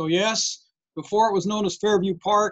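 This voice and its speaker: A woman speaks in a normal speaking voice. The background is quiet. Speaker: presenter. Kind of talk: lecture. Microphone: video call.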